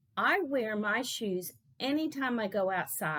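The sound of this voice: With lively intonation, someone reads in an unforced reading voice.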